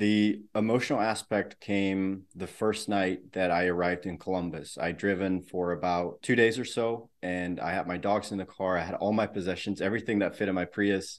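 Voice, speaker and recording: A man's very deep, low voice with fairly even intonation and hardly any pauses, over a quiet background. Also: moderate pace. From Netherlands. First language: Dutch. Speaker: software developer and mental health advocate. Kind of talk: casual chat.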